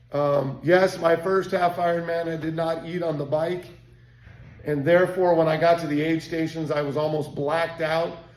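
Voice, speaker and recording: Over noticeable background noise, a man with a high pitch talks at a moderate pace in a monotone, flat intonation. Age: 60s. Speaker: endurance coach and race director. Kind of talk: casual monologue.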